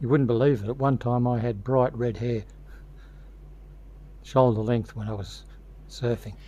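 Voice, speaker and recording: The voice is somewhat breathy and dark, mellow in tone, with an Australian accent and monotone, flat intonation. It moves at a moderate pace with long, frequent pauses. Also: man, medium pitch for a man. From Australia, Victoria (Torquay near Geelong). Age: 70s. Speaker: hobbyist model builder. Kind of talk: tutorial.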